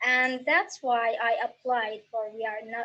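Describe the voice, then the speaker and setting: Against music in the background, a woman with an Arabic accent speaks at a fairly slow pace in a fairly high pitch. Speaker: young writer. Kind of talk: recorded personal testimony.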